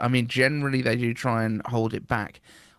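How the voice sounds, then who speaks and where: A man with a British accent at a medium pitch and moderate pace, in a dry, close sound with no echo. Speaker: podcast host. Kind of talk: casual podcast conversation.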